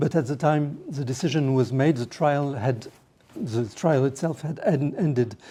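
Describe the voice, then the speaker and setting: The words come at a moderate speed. They are spoken with a French accent. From France. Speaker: lawyer. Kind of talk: panel talk. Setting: parliament meeting room. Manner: halting.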